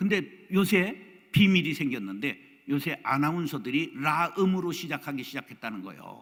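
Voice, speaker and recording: At a moderate pace, the speaker uses vocal fry, with very wide pitch swings and big swings in loudness. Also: man. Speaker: pastor. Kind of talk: lecture.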